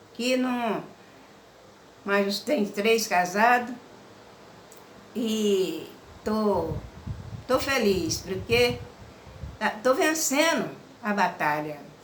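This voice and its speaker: Lively intonation marks this woman's medium-pitched voice. Audible room echo and noticeable background noise fill the recording. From Minas Gerais, Brazil. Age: 70s. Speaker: religious woman telling her life story. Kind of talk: personal testimony.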